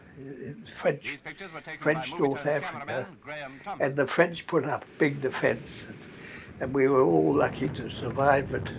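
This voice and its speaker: A man with a New Zealand accent, fairly high in pitch, at a fairly slow pace. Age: 80s+. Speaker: war veteran. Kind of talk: interview answer.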